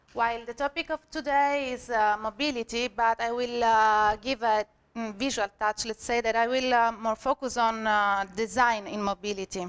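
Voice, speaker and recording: A woman talks at a moderate pace with fairly high pitch and fairly even intonation. The sound is dry and close, with no echo. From Sicily, Italy. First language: Italian. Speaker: senior graphic designer, conference speaker. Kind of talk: conference talk. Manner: halting, many fillers.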